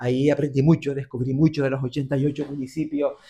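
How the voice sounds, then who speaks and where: Talking at a fairly quick pace in a Canarian accent, a man uses a fairly high pitch and a dark, mellow tone with monotone, flat intonation. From Canary Islands. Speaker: radio and TV presenter. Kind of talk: interview answer.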